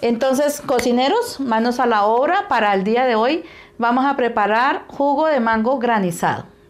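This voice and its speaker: A woman speaks at a high pitch and a moderate pace, with very even loudness and ordinary pitch variation. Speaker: home cook host. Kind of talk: cooking tutorial chat. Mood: warm, cheerful, nostalgic. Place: kitchen.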